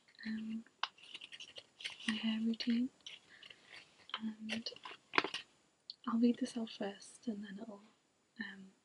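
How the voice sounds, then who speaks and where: A woman whispering, soft-spoken. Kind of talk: ASMR hair care talk to camera. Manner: whispered, soft-spoken.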